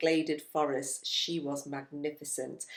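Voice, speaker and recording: A woman with a very deep, low pitch and an English accent. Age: 50s. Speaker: retired teacher and travel vlogger. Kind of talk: casual travel chat.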